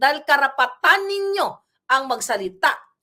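A woman speaks in an angry tone, her high voice bright and sharp. Her pitch swings very widely, and the recording is very clean with a silent background. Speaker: political commentator. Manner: angry, fiery; emphatic, rhetorical.

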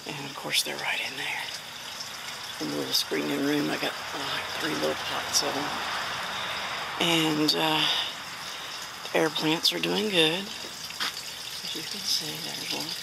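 Loud background noise accompanies fairly slow speech with a dry sound and no echo. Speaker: home gardener vlogger. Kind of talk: casual vlog chat. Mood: relaxed, cheerful. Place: garden. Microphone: phone near.

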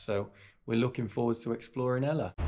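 In a plain, everyday voice, the speaker moves at a fairly quick pace with fairly even intonation. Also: man. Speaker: travel vlogger. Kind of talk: casual vlog chat. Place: home room. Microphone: phone near.

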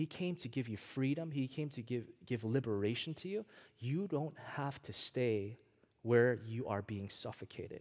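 The background is quiet. A man talks at a moderate pace in an animated tone. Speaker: preacher. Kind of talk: sermon. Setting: church. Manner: animated, call-and-response; earnest, direct. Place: church.

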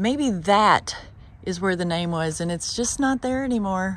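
A woman with a somewhat breathy voice speaks at a fairly slow pace and with ordinary pitch variation, the sound dry with no echo. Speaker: travel vlogger. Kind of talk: casual vlog chat. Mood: curious, wondering aloud. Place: open country. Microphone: phone near.

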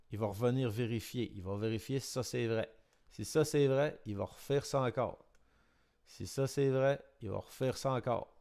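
With a Quebec accent, a man speaks at a moderate pace in a dark, mellow tone with ordinary pitch variation. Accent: Québécois. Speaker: electronics and programming teacher. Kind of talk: tutorial. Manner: casual, hesitant with many fillers.

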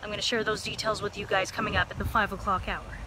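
A woman is speaking. The sound is dry with no echo, over light background noise. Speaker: local news reporter. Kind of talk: news report stand-up. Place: street. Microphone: phone near.

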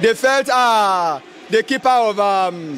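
With faint background noise, a man speaks slowly in a high pitch, his tone fairly bright and his intonation lively.

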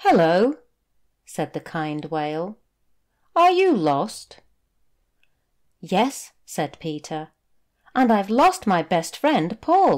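Pausing long and often, a woman speaks very slowly with very wide pitch swings on a very clean recording with a silent background. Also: medium pitch for a woman. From United Kingdom. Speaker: teacher. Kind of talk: children's story reading. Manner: clear, slow.

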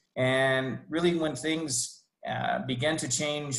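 With fairly even intonation, the man delivers his lines. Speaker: university international programs staff. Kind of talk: informational presentation. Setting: video call. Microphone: video call.

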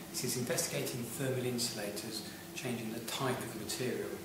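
A man's voice comes through with audible room echo. There is noticeable background noise. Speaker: science teacher. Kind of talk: tutorial. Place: classroom. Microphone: camera far.

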